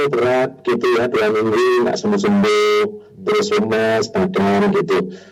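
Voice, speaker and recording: There is noticeable background noise behind this man. He talks at a fairly slow pace with very wide pitch swings. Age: 60s. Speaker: hypnotherapist sharing on a radio talk. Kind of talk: radio talk show discussion. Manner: hesitant, many fillers.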